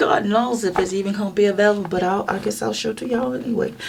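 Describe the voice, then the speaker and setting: A woman talks at a very fast pace. Noticeable background noise can be heard. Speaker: coloring book video creator. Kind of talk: casual flip-through chat. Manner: animated.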